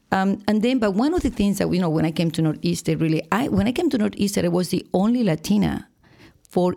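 A woman's very fast speech in a Spanish accent, dark and mellow in tone, with vocal fry and lively intonation. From Venezuela, Margarita Island. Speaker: higher education administrator. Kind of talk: interview.

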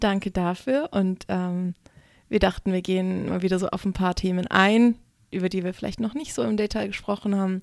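A woman with a medium-pitched voice speaks at a moderate pace in an unremarkable speaking voice, recorded very cleanly against a silent background. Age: young. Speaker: stripper and burlesque performer, podcast co-host. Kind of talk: casual chat.

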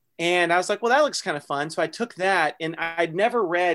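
On a very clean recording with a silent background, a man with a high pitch and an American accent speaks at a moderate pace with fairly even intonation. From North Texas, small town. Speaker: fiction writer and writing workshop founder. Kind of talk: interview conversation.

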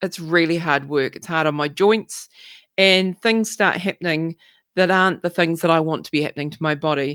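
In a very clean recording with a silent background, a woman with a fairly low pitch speaks at a moderate pace with ordinary pitch variation in an unremarkable speaking voice. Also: dry, close sound with no echo. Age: 50s. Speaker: podcast host. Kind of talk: personal monologue.

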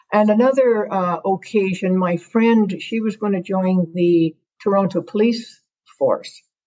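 A woman talks at a fairly slow pace with a Canadian accent. Her voice is somewhat breathy, and her pitch varies in an ordinary way. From Ontario. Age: 60s. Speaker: First Nation chief and retired soldier. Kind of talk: interview. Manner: halting.

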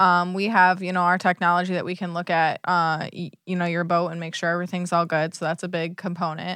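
A woman's fairly low, bright, sharp voice with an American accent, fairly quick with hardly any pauses, monotone and flat, on a very clean recording with a silent background. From US Midwest, Michigan. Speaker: boat management business partner. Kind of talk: casual interview.

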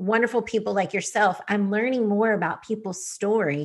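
A normal speaking voice, with ordinary pitch variation and a moderate pace, is heard over a quiet background. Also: woman. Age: 40s. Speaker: podcast host. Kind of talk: casual interview chat.

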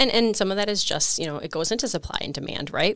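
A woman is talking. She has an Upper Midwest accent. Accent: Upper Midwest American. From rural Wisconsin, US Midwest. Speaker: economic development executive. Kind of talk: interview.

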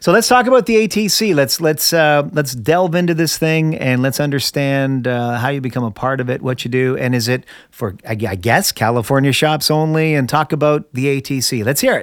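A man's ordinary speaking voice, fairly high in pitch, at a moderate pace with lively intonation and hardly any pauses. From Canada. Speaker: podcast host. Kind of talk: interview.

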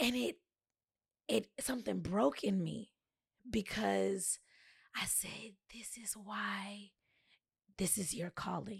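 Speaking at a very slow pace with long, frequent pauses, a woman uses a medium pitch, lively intonation, vocal fry and big swings in loudness. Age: young. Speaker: public speaker. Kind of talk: casual chat.

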